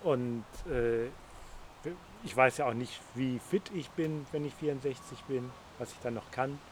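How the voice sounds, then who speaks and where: A man's medium-pitched voice at a very slow pace, broken by long, frequent pauses. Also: ordinary pitch variation. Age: 60s. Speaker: interview guest. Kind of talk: casual interview conversation. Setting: outdoors in a garden.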